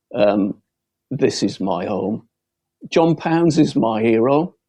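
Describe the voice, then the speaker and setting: A very slow-paced man with a Lancashire accent, a dark, mellow tone and lively intonation, over a quiet background. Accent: northern English (Lancashire). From Bolton, Lancashire, northern England. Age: 70s. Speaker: local election candidate. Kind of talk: campaign closing speech.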